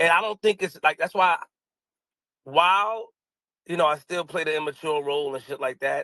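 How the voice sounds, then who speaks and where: Loud, bright, sharp male voice, fairly high in pitch with ordinary pitch variation, at a fairly quick pace and with a dry, close sound with no echo. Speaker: podcast co-host. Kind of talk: casual chat. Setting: online audio room.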